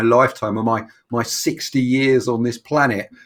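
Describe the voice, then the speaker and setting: In a London accent, a man speaks at a medium pitch with monotone, flat intonation. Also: very clean recording, silent background. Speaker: fitness coach. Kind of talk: casual interview. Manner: halting.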